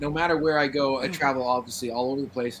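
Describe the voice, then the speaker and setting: Very fast speech from a man, noticeable background noise all around. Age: 40s. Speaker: paranormal investigator. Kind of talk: casual chat.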